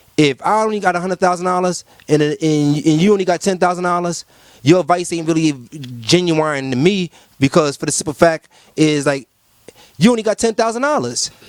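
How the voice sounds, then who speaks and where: A man's high, animated voice at a fairly quick pace, with ordinary pitch variation and a dry, close sound free of echo. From Cuba. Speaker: rapper. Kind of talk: interview. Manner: fast.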